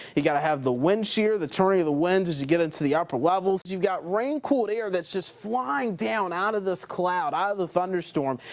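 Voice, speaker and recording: With hardly any pauses, a man talks at a fairly quick pace in a high pitch with lively intonation, against noticeable background noise. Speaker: television meteorologist. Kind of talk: weather explainer on air. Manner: friendly, conversational.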